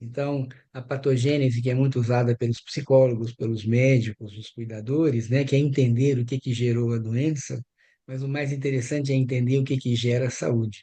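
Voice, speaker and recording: At a moderate pace, a man speaks with a somewhat breathy, dark, mellow tone, a medium pitch and flat, monotone intonation over a quiet background. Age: 60s. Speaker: anthroposophic doctor and biographical counselor. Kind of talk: group workshop discussion.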